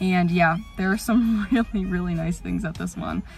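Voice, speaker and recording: Over faint background music, a woman with a fairly low pitch talks at a fairly quick pace in a dry sound with no echo. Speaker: vlogger. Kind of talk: casual vlog chat. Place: car. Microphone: phone near.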